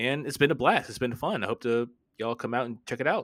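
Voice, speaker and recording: With an American accent, a man talks at a fairly quick pace in a bright, sharp tone. His pitch varies in an ordinary way on a very clean recording with a silent background. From Florida. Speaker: podcast host and film critic. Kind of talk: casual chat.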